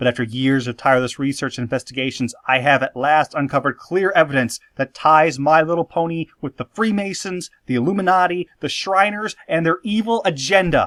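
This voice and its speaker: A man with an ordinary speaking voice, fairly high-pitched, talks at a fairly quick pace in a dry, close sound with no echo. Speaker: video essayist / show analyst. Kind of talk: commentary narration on a cartoon episode.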